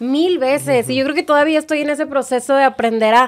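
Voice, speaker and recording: Ordinary pitch variation at a fairly quick pace. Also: woman. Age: 30s. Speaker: radio and TV presenter. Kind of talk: interview conversation.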